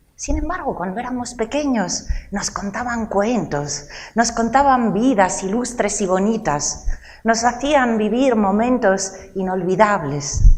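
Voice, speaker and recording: A woman speaks at a very slow pace with lively intonation. Noticeable background noise and audible room echo are present. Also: fairly high pitch for a woman. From Italy, Rome. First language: Italian (speaking Spanish). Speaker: lecturer and storyteller. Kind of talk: cultural talk to a live audience.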